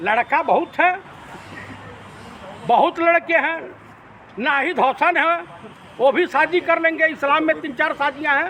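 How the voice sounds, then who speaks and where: A man's raised, projected voice at an extremely high pitch, with ordinary pitch variation and long, frequent pauses over noticeable background noise. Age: 60s. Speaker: political commentator. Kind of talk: TV debate interview. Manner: animated.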